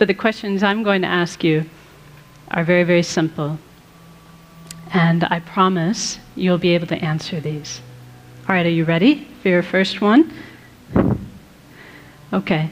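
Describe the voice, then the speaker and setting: In a calm tone, a woman speaks at a moderate pace and a fairly low pitch, with ordinary pitch variation and long, frequent pauses. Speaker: Buddhist nun and meditation teacher. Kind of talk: live talk to an audience. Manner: calm, peaceful.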